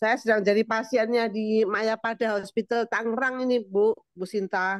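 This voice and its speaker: In a dry, close recording with no echo, a woman speaks at a moderate pace. Her fairly high pitch stays monotone and flat. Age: 60s. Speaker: webinar participant. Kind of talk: casual Q&A. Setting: video call from hospital.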